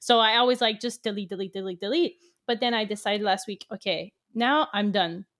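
Her pitch is fairly high, with ordinary pitch variation. The woman speaks with a French Canadian accent. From Quebec. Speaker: magazine founder. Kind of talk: interview. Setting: remote recording.

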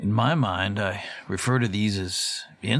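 Pitch variation here is ordinary. It is a natural reading voice.

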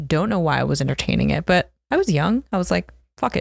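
This is a plain, everyday voice with an American accent. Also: woman. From US Northeast (South Jersey, Philadelphia area). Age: 20s. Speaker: entrepreneur, founder of a tech company. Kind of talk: casual interview. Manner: casual, filler-heavy with frequent laughter.

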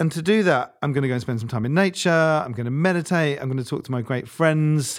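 A man's unremarkable speaking voice comes at a fairly quick pace with ordinary pitch variation, captured in a very clean recording against a silent background. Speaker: former nonprofit CEO. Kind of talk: casual interview conversation. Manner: fast talker.

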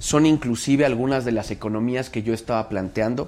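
A man speaks in a plain, everyday voice. His pace is moderate and his pitch medium. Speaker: mayor. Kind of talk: interview.

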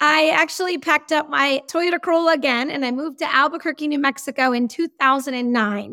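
In an American accent, a woman speaks at a fairly quick pace in a raised, projected voice, high-pitched with a bright, sharp tone, on a very clean recording with a silent background and a dry, close sound with no echo. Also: ordinary pitch variation, hardly any pauses. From Massachusetts. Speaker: independent film producer. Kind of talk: interview.

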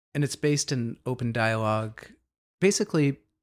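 Recorded very cleanly over a silent background, a man with an American accent has an unremarkable speaking voice of medium pitch and ordinary pitch variation. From US Northeast, Boston area. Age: 50s. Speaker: DJ and psychedelic facilitator. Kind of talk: interview conversation.

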